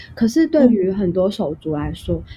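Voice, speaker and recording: With a slight Hong Kong accent, a woman speaks in a dark, mellow tone that is somewhat breathy. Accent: Mandarin with little Hong Kong. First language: Cantonese (speaking Chinese). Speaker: Hong Kong migrant sharing experience. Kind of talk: interview conversation.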